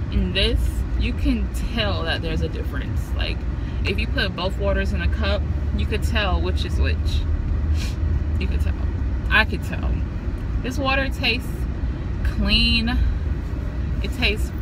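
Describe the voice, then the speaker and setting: A woman at a fairly slow pace, with long, frequent pauses and loud background noise. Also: ordinary pitch variation. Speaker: vlogger. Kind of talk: casual vlog chat. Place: car. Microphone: phone near.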